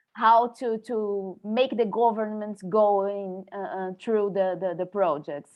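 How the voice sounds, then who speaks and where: Woman speaking at medium pitch, very slowly, with fairly even intonation and hardly any pauses. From Brazil. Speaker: webinar participant. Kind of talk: webinar discussion. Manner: halting, many repetitions.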